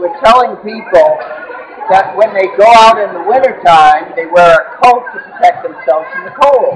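Light background noise runs underneath speech delivered at a moderate pace. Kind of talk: interview answer. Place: hall.

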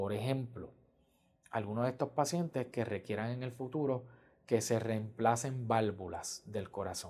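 Against a quiet background, a man speaks at a fairly slow pace in a somewhat breathy voice with ordinary pitch variation. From Puerto Rico, San Germán; Puerto Rico. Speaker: pediatric cardiologist. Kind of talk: interview testimony. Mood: calm, warm, explanatory. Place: office. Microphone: lapel.

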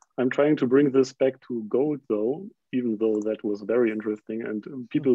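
A man with a German accent at a moderate pace, fairly even intonation, dry sound with no echo, and a quiet background. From Germany. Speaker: podcast interviewer. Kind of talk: interview. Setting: video call. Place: home room. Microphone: video call.

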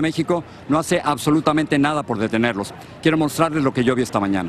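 With light background noise and a dry sound with no echo, a man talks at a very fast pace with ordinary pitch variation. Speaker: TV news reporter. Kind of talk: live news report. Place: street. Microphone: handheld.

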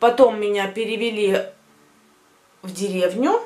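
The woman's delivery has an animated tone. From Russian-speaking village, former USSR. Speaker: vlogger. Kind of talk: casual vlog monologue. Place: home room. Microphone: phone near.

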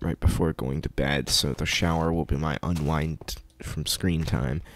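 Quiet male voice with a very deep, low pitch. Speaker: gaming video creator. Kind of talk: casual gameplay commentary. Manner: quiet, kept low; hesitant, many fillers.

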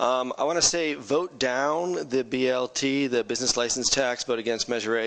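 Delivered in an American accent, a normal speaking voice moves with ordinary pitch variation. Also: man. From California Bay Area, US; California. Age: 40s. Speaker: city council candidate; council candidate. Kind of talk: campaign closing statement. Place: meeting room. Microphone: podium.

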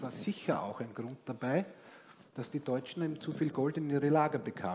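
Light background noise sits under speech that has ordinary pitch variation. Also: man. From Austria. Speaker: economist, former bond trader; guest. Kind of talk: panel discussion. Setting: stage. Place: stage. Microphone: headset.

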